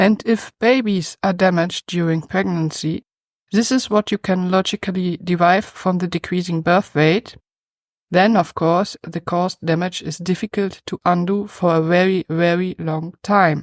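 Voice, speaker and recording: A German accent at a moderate pace with fairly even intonation, dry and close with no echo, on a very clean recording with a silent background. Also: woman, medium pitch for a woman. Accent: German accent, noticeable. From Germany. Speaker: YouTube commentator. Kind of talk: scripted commentary.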